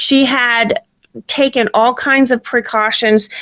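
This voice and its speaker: The sound is dry and close, with no echo. A woman with an American accent speaks in a high pitch with ordinary pitch variation. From US South. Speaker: true crime podcaster. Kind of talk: true crime narration.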